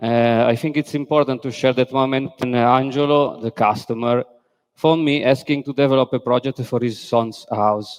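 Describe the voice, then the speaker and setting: Recorded dry and close with no echo, a man with an Italian accent speaks at a medium pitch and moderate pace with fairly even intonation. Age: 40s. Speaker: architect. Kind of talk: conference talk. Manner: halting, many fillers.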